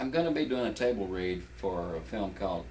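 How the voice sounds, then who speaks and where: A man with an American accent at a fairly quick pace, with very wide pitch swings and audible room echo. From Texas. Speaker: actor. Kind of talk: interview. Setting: in his home.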